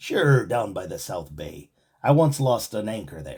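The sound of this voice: Putting on a character voice, a man at medium pitch moves at a moderate pace with very wide pitch swings and big swings in loudness.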